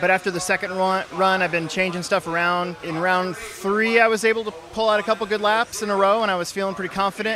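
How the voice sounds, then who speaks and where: A raised, projected voice at a very fast pace, fairly even in intonation, over noticeable background noise. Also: man. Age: 40s. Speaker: RC car racer. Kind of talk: interview.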